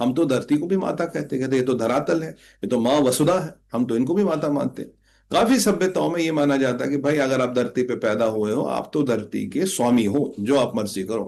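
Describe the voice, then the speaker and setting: Lively in intonation, a man speaks at a medium pitch with vocal fry. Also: moderate pace. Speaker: spiritual commentator. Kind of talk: spiritual talk.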